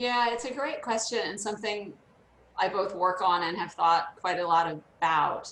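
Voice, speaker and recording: A woman with a plain, everyday voice and an American accent, at a medium pitch and moderate pace, with ordinary pitch variation. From United States. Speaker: leadership development consultant. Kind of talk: casual chat.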